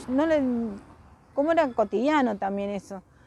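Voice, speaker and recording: In a Rioplatense accent, the voice has a dark, mellow tone and lively intonation. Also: woman. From Argentina, Buenos Aires area. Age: 60s. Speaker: interviewee recalling the dictatorship. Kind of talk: oral history interview. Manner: halting, with false starts.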